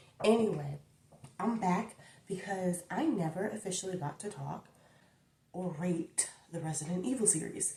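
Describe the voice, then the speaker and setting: Soft-spoken, a woman talks at a medium pitch, leaving long, frequent pauses. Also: ordinary pitch variation, moderate pace. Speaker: YouTuber. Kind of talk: casual chat.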